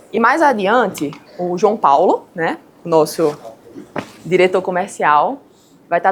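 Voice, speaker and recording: In a Paraíba accent, a woman speaks at medium pitch with lively intonation. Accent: Paraíba (northeastern Brazilian). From Paraíba, Brazilian Northeast. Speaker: structural engineer. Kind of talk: lecture.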